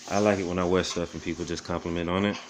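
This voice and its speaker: A man's very deep, low voice in an American accent, fairly even in intonation, over noticeable background noise. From Florida, US. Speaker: thrift reseller / vlogger; thrift reseller, vlogger. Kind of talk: casual show-and-tell vlog. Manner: fast. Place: home room. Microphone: phone near.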